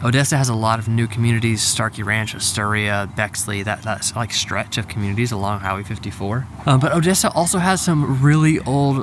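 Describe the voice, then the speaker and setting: A man speaking at a fairly quick pace at medium pitch, ordinary pitch variation, with noticeable background noise. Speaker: real estate agent. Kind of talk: vlog. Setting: outdoors in a parking lot. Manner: casual, filler-heavy.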